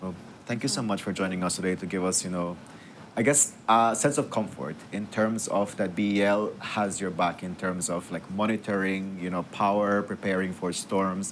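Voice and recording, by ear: A man talks at a moderate pace in a low pitch, his intonation fairly even.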